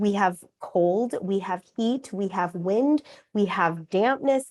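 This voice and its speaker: A woman at a fairly slow pace with ordinary pitch variation, dry and close with no echo, over a quiet background. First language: Korean. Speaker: acupuncturist and author. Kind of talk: interview.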